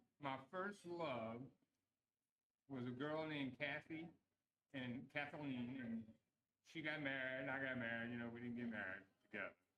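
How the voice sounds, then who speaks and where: A man with a bright, sharp tone speaks with ordinary pitch variation and long, frequent pauses. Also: medium pitch for a man, moderate pace. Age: 70s. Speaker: interview show host. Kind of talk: casual interview. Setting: live stream.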